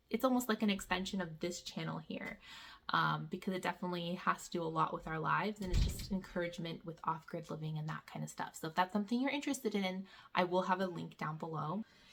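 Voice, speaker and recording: Very fast, animated speech in a bright, sharp tone with vocal fry. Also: woman, medium pitch for a woman, ordinary pitch variation, big swings in loudness. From Canada. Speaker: homeschool vlogger. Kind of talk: casual vlog update.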